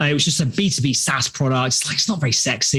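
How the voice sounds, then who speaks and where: In a British accent, a medium-pitched man talks at a very fast pace with lively intonation and an animated tone over noticeable background noise. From London, England. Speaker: startup founder and CEO. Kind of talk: podcast interview. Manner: animated storytelling.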